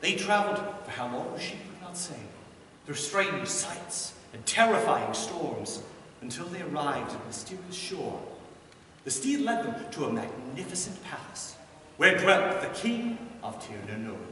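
A man's high-pitched voice at a moderate pace, with very wide pitch swings, light background noise and audible room echo. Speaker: storyteller bard. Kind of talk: storytelling performance of a myth. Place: stage.

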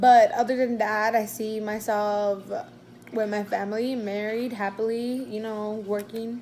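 A woman's dark, mellow tone at a fairly slow pace, over light background noise. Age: 20s. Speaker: YouTuber; vlogger. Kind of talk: mukbang Q&A vlog; casual vlog chat. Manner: animated. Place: home room. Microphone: phone near.

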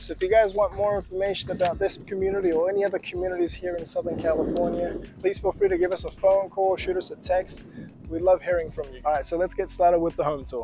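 A man rattles along at a very fast pace, his voice dry and echo-free over light background noise. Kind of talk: real estate presentation to camera. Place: street.

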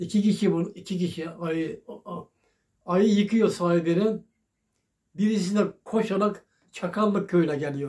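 Against a quiet background, a man speaks fairly slowly with long, frequent pauses. His voice is high in pitch, dark and mellow in tone, with fairly even intonation. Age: 80s+. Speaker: elderly local resident. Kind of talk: telling old memories in an interview. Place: home room. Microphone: phone near.

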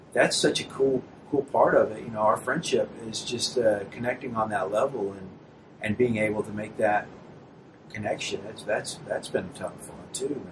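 Over noticeable background noise, a speaker in an American accent talks at a moderate pace with fairly even intonation and big swings in loudness. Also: man. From small town in the US, same place as the host. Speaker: singer-songwriter; guest. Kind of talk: casual chat. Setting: host's apartment. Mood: relaxed, friendly. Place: home room.

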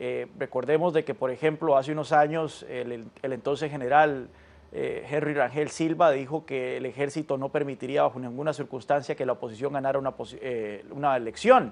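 A man talks at a moderate pace. His pitch is fairly high and his intonation fairly even. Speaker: political analyst. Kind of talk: news interview. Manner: halting. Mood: calm, analytical. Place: studio. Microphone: lapel.

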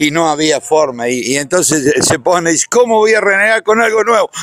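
A man speaks at a moderate pace in a bright, sharp tone with lively intonation. The sound is dry with no echo, over a quiet background. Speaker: agronomy engineer at a peanut company. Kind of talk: anecdote telling, tribute speech. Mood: cheerful, laughing storytelling. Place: open country. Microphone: handheld.

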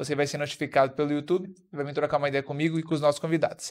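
A man speaks with monotone, flat intonation. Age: 30s. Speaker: podcast host. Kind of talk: casual chat; casual podcast conversation. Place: studio. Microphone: studio mic.

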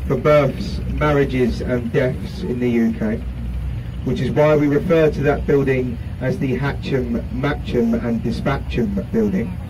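A North London accent at a fairly slow pace amid noticeable background noise. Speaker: river cruise guide. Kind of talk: live tour commentary. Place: boat.

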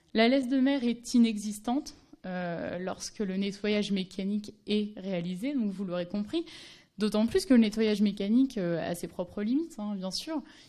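A woman with a dark, mellow tone speaks at a fairly slow pace. Her pitch varies in an ordinary way against a quiet background. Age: 20s. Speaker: anthropology doctoral student; speaker. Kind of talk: conference talk. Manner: halting, many fillers. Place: hall. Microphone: podium.

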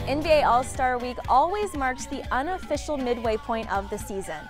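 A woman at a moderate pace, dry with no echo, with clear music in the background. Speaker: TV host, reporter and in-arena emcee. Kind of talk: TV host and reporter reel, on-camera hosting. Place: stadium. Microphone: lapel.

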